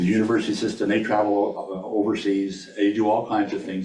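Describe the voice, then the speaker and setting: A man's voice sits fairly low in pitch. Music plays in the background, and the room echo is audible. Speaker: state risk management administrator. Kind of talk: presentation to a board meeting. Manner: fast.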